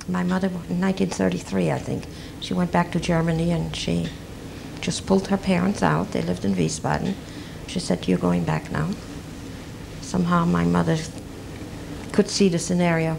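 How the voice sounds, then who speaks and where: Over noticeable background noise, a woman talks at a moderate pace with long, frequent pauses. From Belgium, Brussels. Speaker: Holocaust survivor. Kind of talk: oral history testimony. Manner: halting.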